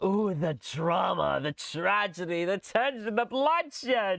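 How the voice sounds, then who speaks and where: Putting on a character voice, a man speaks at a fairly slow pace and a high pitch. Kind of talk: dramatic, announcer-like. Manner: theatrical, exaggerated.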